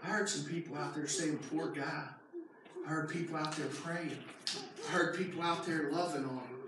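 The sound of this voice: A man speaks at a fairly high pitch and moderate pace with a fairly bright tone. Strong room echo surrounds his voice.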